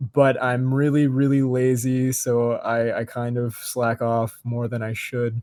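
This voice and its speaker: Speaking at a medium pitch, a man delivers his words with monotone, flat intonation. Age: 20s. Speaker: podcast co-host, university student. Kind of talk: casual chat.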